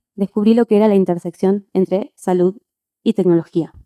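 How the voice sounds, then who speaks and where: A woman with an Argentine accent speaks in a dark, mellow tone, recorded with a dry, close sound and no echo. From Argentina. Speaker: conference speaker, physician and quality engineer. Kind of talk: conference talk.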